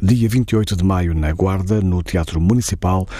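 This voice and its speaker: A man with a European Portuguese accent, his pitch very deep and low, over noticeable background noise. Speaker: radio music show host. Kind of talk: radio presenting between songs. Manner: formal.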